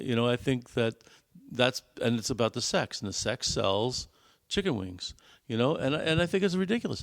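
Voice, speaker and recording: With a New York accent, a man talks at a moderate pace and medium pitch, his voice swinging very widely in pitch. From US Northeast, New York City. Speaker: podcast co-host, father. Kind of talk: casual chat. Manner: hesitant, many fillers and repeats.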